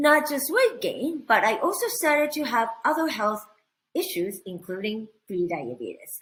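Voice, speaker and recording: Using very wide pitch swings, the speaker talks at a moderate pace with a Japanese accent. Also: woman, high pitch for a woman. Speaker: cooking instructor. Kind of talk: online training presentation.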